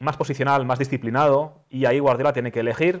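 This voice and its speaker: Over a quiet background, a man speaks with a fairly high pitch. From Spain, Catalonia (Sabadell); Catalonia, Spain. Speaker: former footballer, sports communicator; guest. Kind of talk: casual chat. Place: studio. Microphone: lapel.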